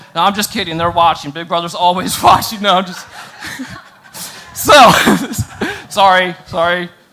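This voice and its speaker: A raised, projected voice over noticeable background noise. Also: man. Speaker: student pastor. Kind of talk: sermon.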